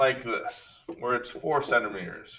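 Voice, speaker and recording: A man at a medium pitch talks at a very slow pace. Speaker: schoolteacher. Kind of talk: video lesson for pupils. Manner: hesitant with fillers.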